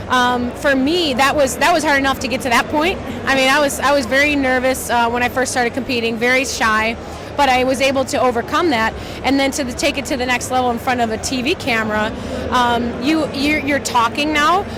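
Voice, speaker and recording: A loud voice moves at a fairly quick pace with fairly even intonation. Music plays in the background, and the room echo is audible. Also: woman, high pitch for a woman. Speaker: fitness athlete and TV gladiator. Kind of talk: interview. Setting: expo booth.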